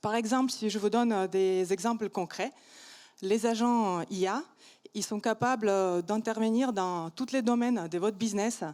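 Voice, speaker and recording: On a very clean recording with a silent background, a woman speaks fairly slowly in a non-native accent. Her voice is fairly high, dark and mellow, with ordinary pitch variation. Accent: foreign accent in French. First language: not French (speaking French). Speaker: startup founder. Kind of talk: startup pitch. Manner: hesitant, many fillers.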